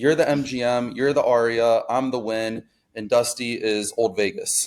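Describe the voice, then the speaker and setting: With music in the background, a man speaks at a moderate pace and medium pitch, keeping his intonation fairly even. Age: 20s. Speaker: online reseller. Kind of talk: casual chat.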